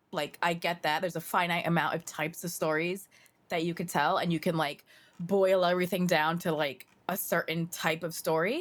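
Captured in a very clean recording with a silent background, a woman with an unremarkable speaking voice talks at a moderate pace in a fairly low pitch. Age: 30s. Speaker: podcast co-host. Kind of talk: reading aloud; casual chat.

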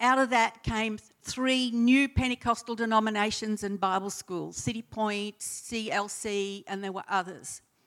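In an Australian accent, a woman with a fairly high pitch talks at a fairly slow pace, her intonation fairly even and hardly any pauses breaking it up. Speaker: church founding member, retired nurse. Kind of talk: testimony.

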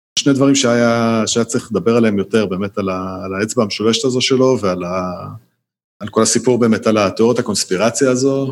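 Speaking at a very fast pace, a man holds a medium pitch. His intonation is fairly even. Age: 30s. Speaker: podcast guest, documentary viewer. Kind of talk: casual chat. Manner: halting, repeats words.

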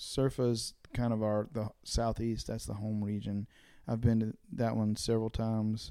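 In a very clean recording with a silent background, a man with an American accent speaks at a moderate pace. His medium-pitched voice has a dark, mellow tone and monotone, flat intonation. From eastern North Carolina (Dunn, Harnett County). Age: 30s. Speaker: singer-songwriter. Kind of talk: casual interview chat.

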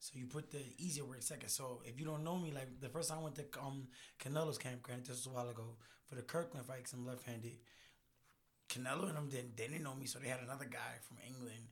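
Very fast and somewhat breathy, a man talks with a medium pitch and fairly even intonation. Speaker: boxer. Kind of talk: casual banter.

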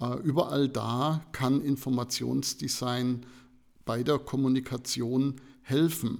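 Very slowly and in a monotone, flat intonation, a man speaks at a medium pitch. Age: 50s. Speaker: information design professor. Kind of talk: interview.

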